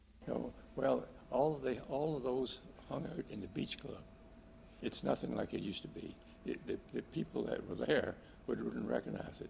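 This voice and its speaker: With noticeable background noise behind him, a man with an American accent speaks with long, frequent pauses. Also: moderate pace. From US South, Virginia. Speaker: retired doctor. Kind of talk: oral history interview. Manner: halting, many repetitions and fillers.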